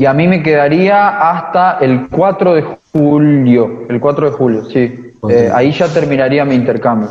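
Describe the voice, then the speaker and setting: Fairly slow in pace, a man with an unremarkable speaking voice talks at a fairly high pitch with ordinary pitch variation. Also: hardly any pauses. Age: 20s. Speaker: veterinary student on exchange. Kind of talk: interview.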